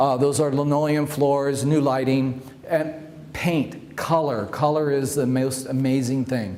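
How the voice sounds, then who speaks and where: Over noticeable background noise and audible room echo, a man with fairly high pitch speaks at a moderate pace in a monotone, flat intonation. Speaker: home stager. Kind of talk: presentation with slideshow. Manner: loud; halting, many fillers.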